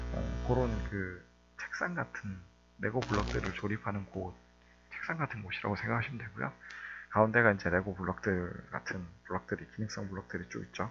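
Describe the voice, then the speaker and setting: Music behind a man's very deep, low voice, fairly quick, with very wide pitch swings. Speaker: coding instructor. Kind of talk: tutorial. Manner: fast.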